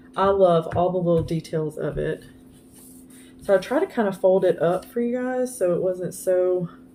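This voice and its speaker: Noticeable background noise sits behind a woman's medium-pitched voice. She keeps a moderate pace with ordinary pitch variation. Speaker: craft vlogger. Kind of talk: casual show-and-tell vlog. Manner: halting, stumbling over words.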